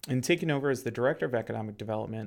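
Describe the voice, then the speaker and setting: A man with a Midwestern American accent speaks at a medium pitch with ordinary pitch variation. The recording is very clean, with a silent background. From Ohio, Cincinnati suburbs. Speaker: podcast host, local government economic development director. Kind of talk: solo monologue podcast.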